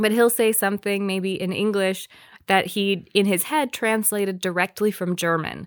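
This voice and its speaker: A woman with a plain, everyday voice speaks at a moderate pace and medium pitch with fairly even intonation, her sound dry and close with no echo on a very clean recording with a silent background. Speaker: podcast co-host. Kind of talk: casual chat.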